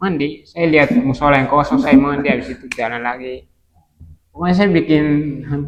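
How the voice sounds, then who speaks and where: A man talks in a Kupang accent at a fairly quick pace. His pitch is fairly high, with ordinary variation. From East Nusa Tenggara, Kupang. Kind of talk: testimony.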